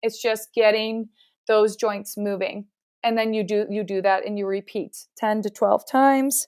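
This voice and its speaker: An unremarkable speaking voice with a Canadian accent, fairly slow and fairly even in intonation, in a dry, close sound with no echo and a very clean recording over a silent background. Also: woman, fairly high pitch for a woman. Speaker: physiotherapist. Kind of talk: interview.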